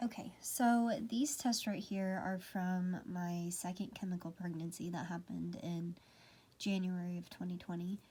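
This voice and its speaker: A somewhat breathy woman talks at a moderate pace in a medium pitch with ordinary pitch variation. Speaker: vlogger. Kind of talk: casual talk to camera. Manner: many fillers, uh and um.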